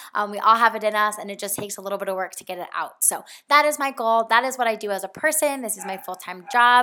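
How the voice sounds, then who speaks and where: At a very fast pace with hardly any pauses, a woman speaks in an animated, bright, sharp tone at a fairly high pitch with ordinary pitch variation. Her loudness swings widely on a very clean recording with a silent background. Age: 20s. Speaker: podcast host, personal trainer and health coach. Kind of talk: casual monologue.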